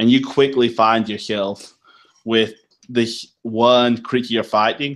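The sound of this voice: Against a quiet background, the intonation stays fairly even. It is an unforced reading voice.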